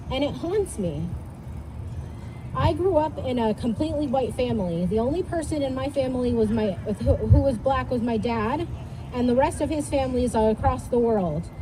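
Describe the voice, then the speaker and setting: A woman is speaking. Audible room echo and noticeable background noise fill the recording. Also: moderate pace. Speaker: youth speaker at rally. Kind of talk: speech to crowd.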